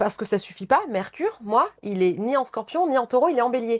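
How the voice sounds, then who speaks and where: A woman talks at a fairly quick pace. Her fairly high voice has lively intonation. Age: 40s. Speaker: sports coach and naturopath. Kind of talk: casual chat. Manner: impulsive.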